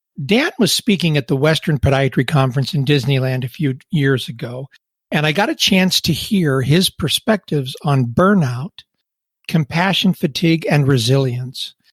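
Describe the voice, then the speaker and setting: A man talks at a moderate pace, fairly high in pitch and somewhat breathy, with ordinary pitch variation and a dry, close sound with no echo. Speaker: podcast host. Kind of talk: podcast intro narration.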